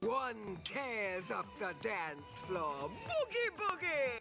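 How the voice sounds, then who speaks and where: Someone uses a put-on character voice at a very slow pace. Clear music plays in the background. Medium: video game. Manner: oracular, poetic.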